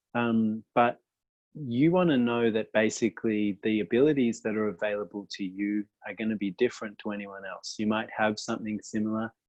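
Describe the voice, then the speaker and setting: Fairly quick pace and ordinary pitch variation in a normal speaking voice. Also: man, fairly low pitch for a man. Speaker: workshop facilitator. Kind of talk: online workshop talk. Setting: video call.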